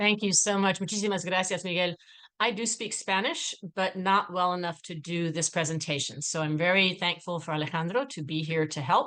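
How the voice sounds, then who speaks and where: At a fairly quick pace, a woman with fairly low pitch and a bright, sharp tone shows ordinary pitch variation. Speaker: policy researcher. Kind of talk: webinar presentation. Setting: video call. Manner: fast.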